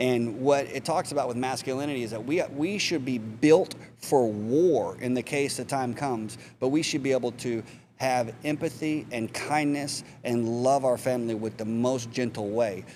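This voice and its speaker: A man speaks at a medium pitch, with ordinary pitch variation. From Texas. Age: 40s. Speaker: mentor and spinal cord injury survivor. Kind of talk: podcast interview.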